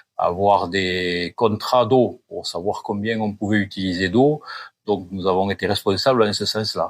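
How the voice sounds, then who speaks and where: At a fairly slow pace, a man speaks with fairly low pitch and fairly even intonation. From southwest France, Gers (Gascony). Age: 60s. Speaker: retired farmer. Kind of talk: interview. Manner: halting, many hesitations.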